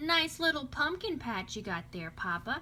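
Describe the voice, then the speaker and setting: A woman's high-pitched, put-on character voice with very wide pitch swings at a moderate pace, with clear background noise. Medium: read story.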